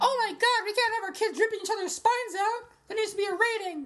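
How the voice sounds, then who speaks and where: A woman's put-on character voice, squeaky and extremely high-pitched, at a very fast pace. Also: ordinary pitch variation. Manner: panicked, outraged.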